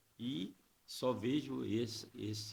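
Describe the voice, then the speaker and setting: A man speaks with vocal fry. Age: 70s. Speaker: politician. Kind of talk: podcast interview. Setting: studio.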